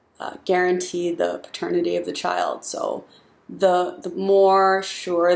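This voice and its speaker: A woman's voice comes out shaky. She speaks at a very slow pace. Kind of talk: casual opinion talk to camera.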